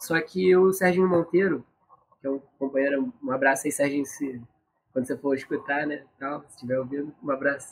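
A man with an ordinary speaking voice and a fairly high pitch talks at a fairly quick pace with ordinary pitch variation. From Brazil, Rio de Janeiro. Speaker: cultural organizer and carnival musician. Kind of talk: casual interview chat.

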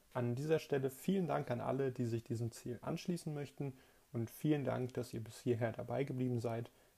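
A man speaks fairly quickly at a medium pitch with ordinary pitch variation. His tone is dark and mellow, and somewhat breathy. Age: 20s. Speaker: podcast host, politics student. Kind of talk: solo podcast monologue, scripted. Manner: formal.

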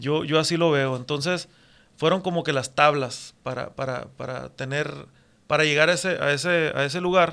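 In a very clean recording with a silent background, a man speaks at a moderate pace with a fairly high pitch, a bright, sharp tone and fairly even intonation. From northwestern Mexico, Mexicali and Puerto Peñasco. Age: 40s. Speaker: tattoo artist. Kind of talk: casual chat.

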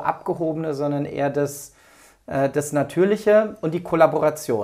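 Fairly slow and fairly high for a man, his voice has a dark, mellow tone and ordinary pitch variation. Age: 40s. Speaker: entrepreneur and management consultant. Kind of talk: casual interview. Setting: in person at host's home. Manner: hesitant with fillers.

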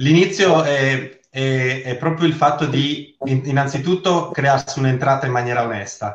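A man speaks fairly slowly in a somewhat breathy voice with ordinary pitch variation, hardly pausing at all. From Sardinia. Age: 40s. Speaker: network marketing seller. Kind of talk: interview testimony. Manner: halting, repeats words.

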